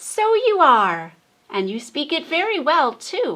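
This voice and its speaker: A woman's put-on character voice, high in pitch with very wide swings, at a fairly slow pace. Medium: read story.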